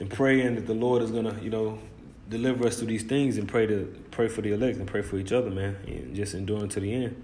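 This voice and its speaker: Very fast speech from a man at a medium pitch, fairly even intonation and audible room echo. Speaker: religious commentator. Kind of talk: bible commentary on news. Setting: hot room. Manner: informal, emphatic.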